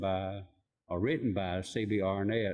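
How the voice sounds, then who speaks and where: A man with a Tennessee accent speaks at a fairly low pitch. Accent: Southern US (Tennessee). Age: 60s. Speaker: barbershop owner. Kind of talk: casual interview.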